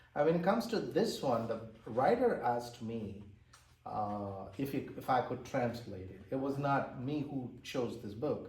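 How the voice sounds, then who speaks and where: Audible room echo surrounds a man with an Indian accent who speaks at a fairly slow pace in a somewhat breathy voice, with a medium pitch and ordinary pitch variation. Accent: Indian English (Tamil). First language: Tamil. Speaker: author and translator. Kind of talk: interview. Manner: halting.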